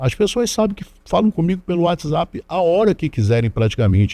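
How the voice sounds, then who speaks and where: The voice belongs to a man. It has a dry, close sound with no echo. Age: 60s. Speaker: DJ and council candidate. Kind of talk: interview. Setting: studio. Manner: halting with repetitions.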